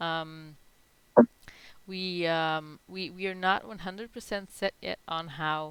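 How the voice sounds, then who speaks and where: The voice has a bright, sharp tone, fairly even intonation, and a non-native accent. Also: woman. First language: not English. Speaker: NFT project founder. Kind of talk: live Q&A in online town hall. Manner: halting, many fillers.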